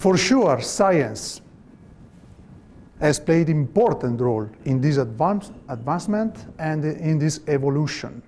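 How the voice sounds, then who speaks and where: Amid audible room echo, a man with a non-native accent speaks very slowly at a fairly high pitch with lively intonation. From Italy. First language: Italian. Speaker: volleyball coach. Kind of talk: lecture. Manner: halting.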